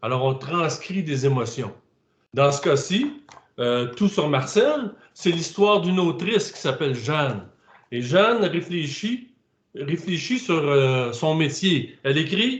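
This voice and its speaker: Speaking with a Quebec accent at a very slow pace, a man uses a fairly high pitch with very wide swings and long, frequent pauses. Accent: Québécois, singsong. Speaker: author. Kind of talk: interview. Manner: halting.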